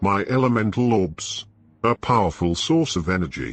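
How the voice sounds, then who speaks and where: The speaker puts on a character voice at a moderate pace. Faint music plays in the background. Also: man, fairly low pitch for a man. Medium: solo performance. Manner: hissing, sly.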